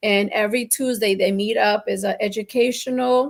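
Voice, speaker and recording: A woman with vocal fry speaks at medium pitch with fairly even intonation. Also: very clean recording, silent background. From Colombian family, raised in New Jersey/New York. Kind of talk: casual talk show conversation.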